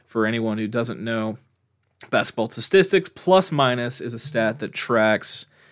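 A man with an American accent speaks fairly slowly in a plain, everyday voice, his pitch medium and his intonation lively. The recording is very clean, with a silent background. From Nebraska, Omaha. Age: 20s. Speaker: sports podcaster. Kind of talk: solo podcast commentary. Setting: solo recording at a microphone. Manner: casual, with frequent fillers.

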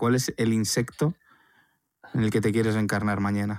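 A man with a fairly low voice talks at a moderate pace, his intonation fairly even. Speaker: podcast co-host, documentary filmmaker. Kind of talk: casual chat.

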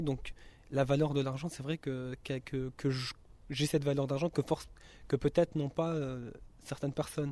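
Over a silent background in a very clean recording, a man speaks with a dark, mellow tone at a fairly high pitch, his intonation monotone and flat. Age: 20s. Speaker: resident of a youth social housing residence, student. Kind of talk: interview testimony.

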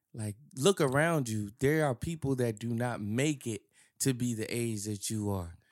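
In an unremarkable speaking voice with an American accent, the speaker talks at a fairly slow pace with ordinary pitch variation on a very clean recording with a silent background. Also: man, medium pitch for a man. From US Northeast, near New York. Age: 30s. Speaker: podcast co-host. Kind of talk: casual chat.

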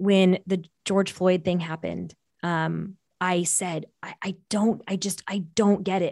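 In a Californian accent, a woman talks at a medium pitch with fairly even intonation, the sound dry and close with no echo. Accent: Californian American. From US West Coast, San Francisco Bay Area. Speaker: business coach and consultant. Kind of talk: interview conversation.

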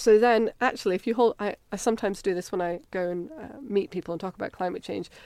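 Speaking very fast with hardly any pauses, a woman with a Scottish accent uses a medium pitch and ordinary pitch variation on a very clean recording with a silent background. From Scotland. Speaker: physical oceanographer. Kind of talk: casual interview.

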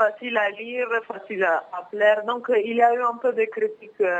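At a fairly slow pace, a woman with an Italian accent speaks at a fairly high pitch over noticeable background noise. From northern Italy, Milan. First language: Italian (speaking French). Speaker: former exchange student. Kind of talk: interview. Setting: phone call.

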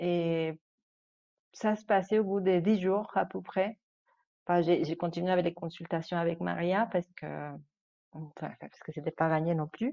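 This woman's voice sits fairly low, with fairly even intonation. She moves at a fairly slow pace and leaves long, frequent pauses. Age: 30s. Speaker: mother. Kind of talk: testimony. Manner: halting.

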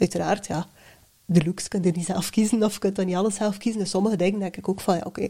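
The voice carries a West Flemish accent. Its tone is dark and mellow. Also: woman. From West Flanders, Belgium. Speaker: personal branding coach. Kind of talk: casual chat.

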